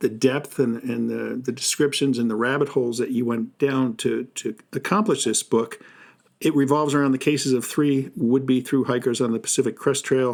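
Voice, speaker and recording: A man with a normal speaking voice talks at a medium pitch and a moderate pace, with fairly even intonation. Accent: American. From New Jersey. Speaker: podcast host. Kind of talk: interview.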